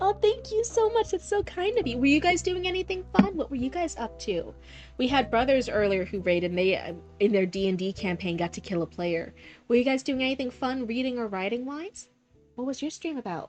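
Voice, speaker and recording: A woman speaks at a high pitch with very wide pitch swings. Her pace is fairly quick, with music in the background. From born near Boston, raised in Central Florida. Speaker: streamer. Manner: friendly, chatty.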